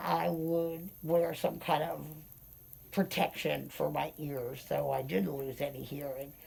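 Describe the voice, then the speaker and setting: A woman with an American accent at a fairly slow pace, over noticeable background noise. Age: 60s. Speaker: interviewee sharing hearing loss experience. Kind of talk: casual interview, personal anecdotes.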